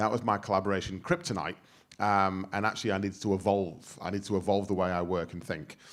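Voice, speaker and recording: Very fast speech comes from a man. His pitch is fairly low. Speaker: workplace futurist, speaker. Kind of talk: workshop talk. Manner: loud; animated.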